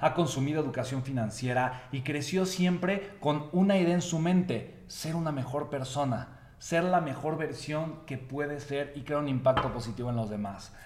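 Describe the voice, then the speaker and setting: There are hardly any pauses as a man talks at a moderate pace. His pitch is fairly high, with ordinary variation. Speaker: motivational speaker. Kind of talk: motivational talk. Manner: animated.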